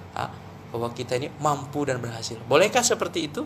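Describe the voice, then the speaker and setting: At a very fast pace, a man with a Javanese accent talks in an animated tone at a fairly high pitch. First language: Javanese (speaking Indonesian). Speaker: Islamic preacher. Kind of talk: religious talk.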